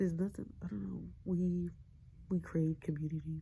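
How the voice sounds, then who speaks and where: Someone whispers at a moderate pace. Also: woman. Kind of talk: ASMR whisper ramble. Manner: whispered.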